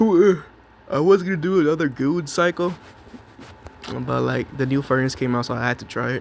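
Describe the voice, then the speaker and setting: With noticeable background noise behind him, a man in an animated tone speaks at a fairly quick pace and fairly high pitch, with ordinary pitch variation and long, frequent pauses. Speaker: gaming youtuber. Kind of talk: gameplay commentary.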